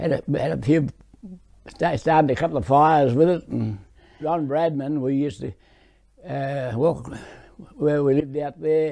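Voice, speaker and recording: This man speaks with an Australian accent. His pitch is fairly high, and his pace is moderate. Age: 80s+. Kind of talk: interview answer. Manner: reminiscing, halting.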